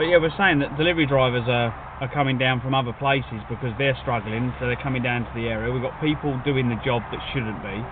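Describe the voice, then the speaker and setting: A man's medium-pitched voice at a very fast pace with hardly any pauses and ordinary pitch variation, amid noticeable background noise. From England. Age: 40s. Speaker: food delivery driver streamer. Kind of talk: casual live-stream chat.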